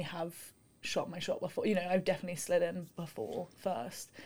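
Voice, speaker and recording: Somewhat breathy and very fast, a woman with a London accent speaks at a medium pitch with fairly even intonation. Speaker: university student and rower. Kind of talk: casual chat.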